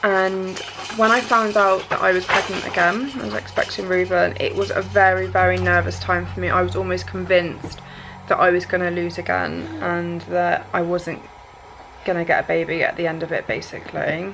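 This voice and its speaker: A woman with an English accent at a moderate pace, with noticeable background noise. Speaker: vlogger. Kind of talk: personal vlog. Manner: halting, occasional stutter.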